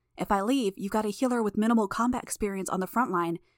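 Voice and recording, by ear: Natural-voiced reading aloud with ordinary pitch variation.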